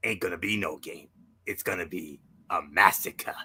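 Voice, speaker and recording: Putting on a raspy character voice, a man talks at a moderate pace. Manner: put-on character voice, boastful.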